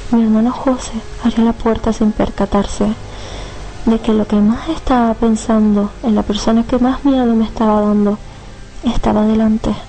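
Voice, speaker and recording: A woman's monotone, flat intonation against noticeable background noise. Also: fairly high pitch for a woman, moderate pace, very even loudness. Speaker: storyteller reading her own horror story. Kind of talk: dramatic narration of a horror story, with a villain's menacing lines. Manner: suspenseful, tense and hushed; theatrical, ominous and menacing in the killer's lines.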